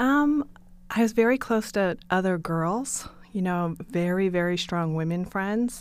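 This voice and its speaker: Speaking with an American accent, a woman uses lively intonation at medium pitch. She has a plain, everyday voice. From US, western Maine (rural). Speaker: advertising agency CEO. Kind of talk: interview.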